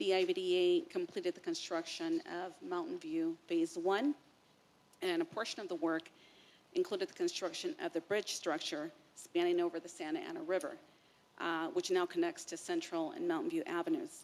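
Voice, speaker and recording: Loud and at a moderate pace, a woman is speaking. Her pitch swings very widely. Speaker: agency staff presenter. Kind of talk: formal staff presentation. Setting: public board meeting.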